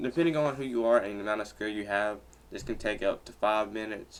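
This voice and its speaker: A man with a medium pitch talks fairly quickly. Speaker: software tutorial youtuber. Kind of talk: tutorial. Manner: halting, with fillers.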